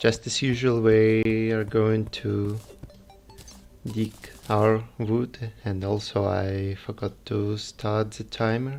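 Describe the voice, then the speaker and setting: With music in the background, a man in a strong Russian accent speaks very slowly in a fairly low, flat monotone. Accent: heavy Russian. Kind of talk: game livestream commentary. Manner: quiet, calm.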